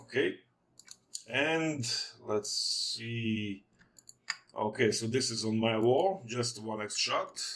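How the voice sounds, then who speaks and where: Speaking at a very slow pace with long, frequent pauses, a man uses a medium pitch. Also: ordinary pitch variation. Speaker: tech reviewer. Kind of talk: product review walkthrough. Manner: casual, hesitant with fillers.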